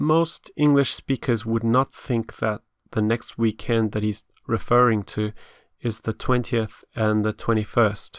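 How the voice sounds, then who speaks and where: In a very clean recording with a silent background and a dry, close sound with no echo, a man with a normal speaking voice talks fairly slowly at a medium pitch with fairly even intonation. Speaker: English teacher. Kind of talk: educational lesson narration.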